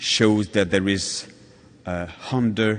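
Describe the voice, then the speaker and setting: A man with a French accent speaks at a very slow pace in a very deep, low pitch with ordinary pitch variation, with audible room echo around him. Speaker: patient advocate. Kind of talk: conference talk. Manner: halting.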